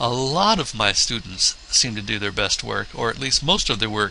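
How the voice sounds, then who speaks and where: Noticeable background noise fills this clip. A man speaks at medium pitch and a fairly slow pace. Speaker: college theater instructor. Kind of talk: recorded course orientation lecture.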